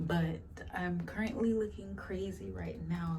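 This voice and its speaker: Clear background noise and an audible room echo surround a woman talking at a moderate tempo. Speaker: beauty vlogger. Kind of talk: casual vlog. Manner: filler-heavy, casual.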